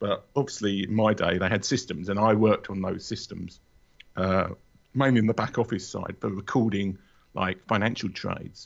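The speaker uses a London accent with fairly even intonation. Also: man, fairly low pitch for a man, moderate pace. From London area, England. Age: 40s. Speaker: author and podcaster. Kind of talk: casual interview. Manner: hesitant, many fillers.

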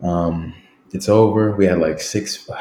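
Very deep and low, a man's voice holds fairly even intonation. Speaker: professional soccer player. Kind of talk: casual interview chat.

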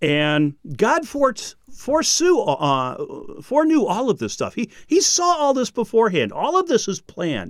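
An enthusiastic male voice at an extremely high pitch, delivered at a moderate pace. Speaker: Bible teacher and podcast host. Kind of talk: teaching lecture on Bible prophecy. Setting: recorded standing up. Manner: animated, not monotone, varied voice; excitable, enthusiastic.

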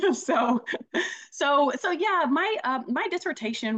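Speaking with an American accent at a moderate pace, a woman makes very wide pitch swings. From US South, Greenville, South Carolina. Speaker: executive coach and business consultant. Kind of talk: interview conversation. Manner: halting, many repeated words and fillers.

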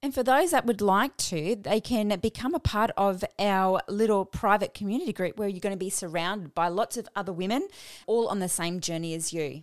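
In a very clean recording with a silent background, a woman with a plain, everyday voice and a medium pitch talks at a fairly quick pace, with lively intonation and hardly any pauses. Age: 40s. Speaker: podcast host and fitness coach. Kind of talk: solo podcast monologue.

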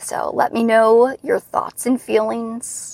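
This is a woman's voice. Her intonation is monotone and flat. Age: 40s. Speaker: podcast host and pelvic health physical therapist. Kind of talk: solo podcast monologue, coaching talk.

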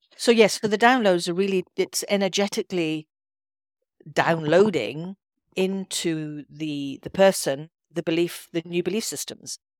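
A woman with an Edinburgh accent speaks at a fairly low pitch and a fairly slow pace. Her loudness swings a lot while her pitch varies in an ordinary way, in a very clean recording with a silent background. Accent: Scottish (Edinburgh). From Scotland, Edinburgh. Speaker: intuitive healer and coach. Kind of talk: podcast interview.

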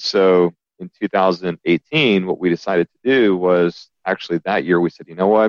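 The speaker has an American accent and ordinary pitch variation. The loudness swings widely. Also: man, very deep, low pitch for a man, moderate pace. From US South, Alabama. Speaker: company CEO. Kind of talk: interview conversation.

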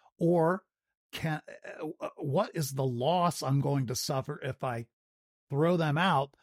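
A somewhat breathy voice at a fairly slow pace, dry and close with no echo, on a very clean recording over a silent background. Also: man. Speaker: podcast host. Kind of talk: casual interview.

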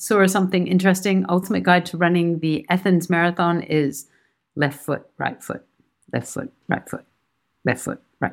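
A woman's normal speaking voice at a fairly low pitch, moderate pace and ordinary pitch variation, with big swings in loudness, in a very clean recording with a silent background. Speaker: podcast host and cancer survivor runner. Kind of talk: casual chat.

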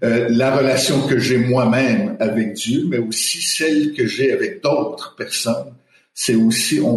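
In a room with audible echo, a man at medium pitch speaks at a fairly slow pace with very wide pitch swings. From Quebec. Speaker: theology professor. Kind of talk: panel discussion. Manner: hesitant, many fillers.

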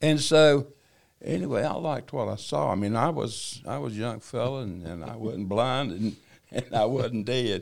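With a North Carolina accent, a man speaks at a moderate pace and medium pitch, with vocal fry and lively intonation. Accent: Southern US, North Carolina. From North Carolina, China Grove. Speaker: church member sharing testimony. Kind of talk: testimony. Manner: halting.

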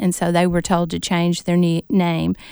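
On a very clean recording with a silent background, a woman with an American accent and an unremarkable speaking voice talks at a medium pitch with fairly even intonation. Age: 60s. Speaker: author and former teacher. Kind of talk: interview.

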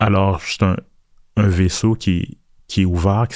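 A man's fairly low, dark, mellow voice in a monotone, flat delivery. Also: very clean recording, silent background. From Montreal, Quebec. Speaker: visual artist. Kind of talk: interview conversation.

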